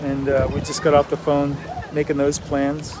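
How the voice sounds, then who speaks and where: Over noticeable background noise, a man talks at a fairly slow pace with a fairly high pitch. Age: 60s. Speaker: artist vlogger. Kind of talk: casual vlog monologue. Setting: outdoors. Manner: halting, many fillers.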